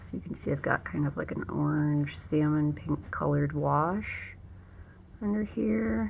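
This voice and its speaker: A woman mumbles at a fairly slow pace in a very deep, low pitch. Her pitch swings very widely. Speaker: painter and writer. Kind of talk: casual talk while painting. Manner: mumbling.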